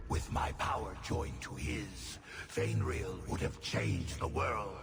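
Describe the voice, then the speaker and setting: Putting on a character voice, a man speaks at a fairly slow pace over loud background noise. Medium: game stream. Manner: silky, persuasive.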